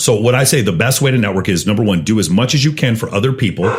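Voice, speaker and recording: Over noticeable background noise, a man with a fairly low voice talks at a very fast pace in an animated tone with lively intonation. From Texas, Austin. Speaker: podcast guest, CEO and dating coach. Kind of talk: casual podcast interview.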